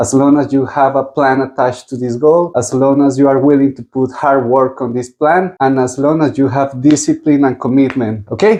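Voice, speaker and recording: A man with a strong Spanish accent speaks at a moderate pace with hardly any pauses. His voice is medium-pitched with a dark, mellow tone and fairly even intonation. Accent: thick Spanish. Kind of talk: interview.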